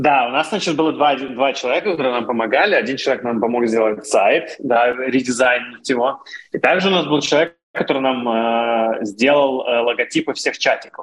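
He is a man in a plain, everyday voice, pitched medium. His loudness stays very even, with ordinary pitch variation at a moderate pace. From Russia. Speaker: founder of a tech community channel. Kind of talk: interview conversation.

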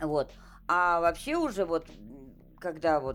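Against music in the background, a woman speaks at a moderate pace in a very deep, low pitch with ordinary pitch variation. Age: 60s. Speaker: retired gamer grandmother. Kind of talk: casual chat.

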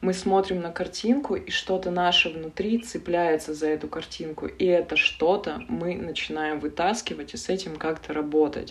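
Amid noticeable background noise, a woman with a fairly low pitch and ordinary pitch variation talks at a moderate pace with hardly any pauses. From Russian Far North (Yakutia). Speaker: analytical psychologist and tarot reader. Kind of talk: interview conversation.

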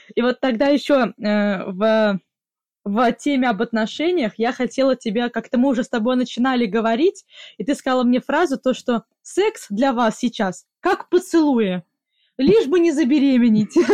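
Dry and close with no echo, a woman's high-pitched voice moves at a moderate pace with lively intonation and very even loudness. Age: 20s. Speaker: podcast host. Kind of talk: casual chat, interview with grandmother.

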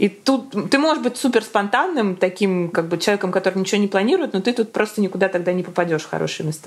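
A woman talks at a very fast pace and medium pitch with ordinary pitch variation, over noticeable background noise. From Moscow, Russia. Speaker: entrepreneur and new mother. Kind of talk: casual interview.

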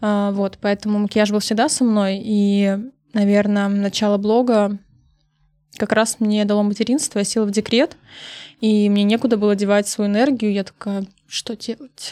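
With long, frequent pauses, a woman speaks at a moderate pace in a medium pitch, her dark, mellow tone set in a monotone, flat intonation on a very clean recording with a silent background. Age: 30s. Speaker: makeup artist and beauty blogger. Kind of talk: casual interview chat.

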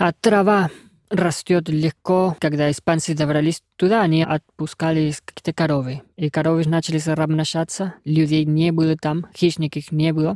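In a dry, close sound with no echo, a man with a Spanish accent speaks at a moderate pace, with a fairly high pitch and fairly even intonation. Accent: Spanish-accented Russian. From Argentina, Córdoba. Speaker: guest from Argentina. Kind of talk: casual chat.

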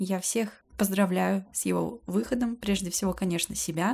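A woman at a medium pitch speaks at a moderate pace, somewhat breathy. The recording is very clean, with a silent background. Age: 20s. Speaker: podcaster, graduate student. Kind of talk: solo personal podcast monologue. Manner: casual, chatty.

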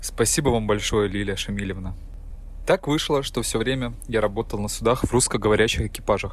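A man speaking at a moderate pace. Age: 30s. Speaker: ship's officer. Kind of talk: prepared monologue.

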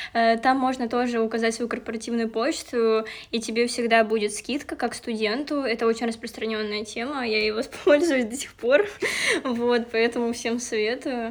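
Against noticeable background noise, a woman speaks at a moderate pace. Her pitch is fairly high, and her intonation is fairly even. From Leningrad Oblast, Russia. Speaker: student podcast host. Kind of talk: casual chat.

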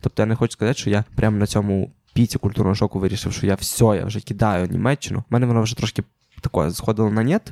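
With a dark, mellow tone and fairly even intonation, a man speaks at a very fast pace in a fairly low pitch, the sound dry and close with no echo. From Ukraine. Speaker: podcast host. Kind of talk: casual chat.

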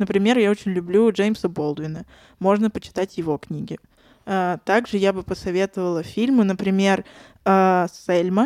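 In a very clean recording with a silent background and a dry, close sound with no echo, a woman with a plain, everyday voice speaks at medium pitch, moderate pace and with fairly even intonation. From Saint Petersburg, Russia. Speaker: former English teacher. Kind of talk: casual chat.

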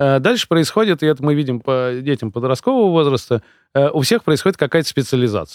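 Over a silent background in a very clean recording, a man speaks fairly quickly with a fairly high pitch and lively intonation, the sound dry and close with no echo. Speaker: coach and consultant, founder of a personal development program. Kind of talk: casual chat. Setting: studio. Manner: articulate, fluent storyteller.

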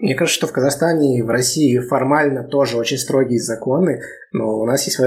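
Fairly quick pace, medium pitch and ordinary pitch variation in a man's normal speaking voice. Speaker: podcast co-host. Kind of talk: casual chat.

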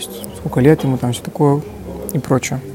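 A man's voice comes with noticeable background noise. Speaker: podcaster and business owner. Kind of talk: solo casual monologue. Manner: dry, monotone.

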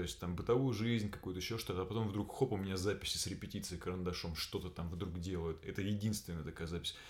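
This man's voice sits at a very deep, low pitch. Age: 30s. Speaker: actor. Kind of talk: casual chat. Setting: home room recording with friend.

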